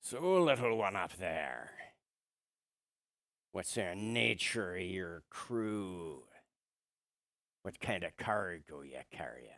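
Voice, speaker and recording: A man's put-on character voice, raspy and very deep and low, at a very slow pace with long, frequent pauses. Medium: actual play. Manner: bluff, swaggering.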